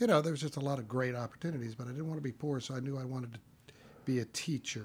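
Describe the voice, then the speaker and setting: This man talks at a very fast pace with an American accent. His voice sits at a medium pitch, somewhat breathy, with ordinary pitch variation. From Texas. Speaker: film property master. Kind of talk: casual interview chat.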